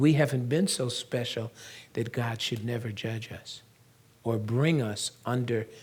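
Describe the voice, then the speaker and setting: The man's voice is somewhat breathy and sits at a medium pitch. He speaks at a fairly slow pace with fairly even intonation. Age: 70s. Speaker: pastor and prophecy teacher. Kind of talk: sermon.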